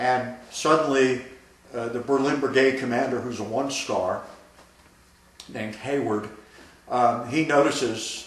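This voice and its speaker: Over noticeable background noise, a man at medium pitch speaks at a fairly slow pace with fairly even intonation and long, frequent pauses. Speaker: army veteran. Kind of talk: oral history interview answer.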